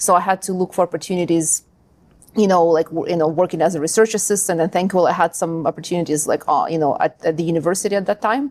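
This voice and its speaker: A woman with a Ukrainian accent talks at a very fast pace, her fairly low pitch and intonation fairly even. The recording is very clean with a silent background, dry and close with no echo. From Ukraine. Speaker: linguist and language school founder. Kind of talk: interview.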